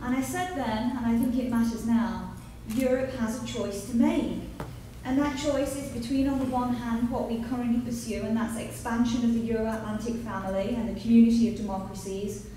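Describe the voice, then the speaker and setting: A woman with an English accent and a fairly high pitch, fairly quick pace and fairly even intonation, with audible room echo and noticeable background noise. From England, Nottingham. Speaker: policy analyst. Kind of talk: conference speech. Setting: conference panel with audience.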